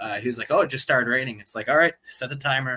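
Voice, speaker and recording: With a Buffalo accent, a man talks at a very fast pace in a medium pitch with ordinary pitch variation. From Buffalo, New York area. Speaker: YouTuber. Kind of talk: casual chat. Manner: halting, many fillers.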